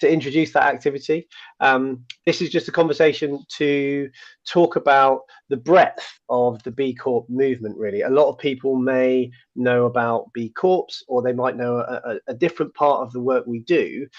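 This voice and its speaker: With a British accent, a man speaks at a moderate pace in a fairly even intonation. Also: medium pitch for a man. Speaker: people manager, conversation host. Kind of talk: live online conversation. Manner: casual, filler-heavy.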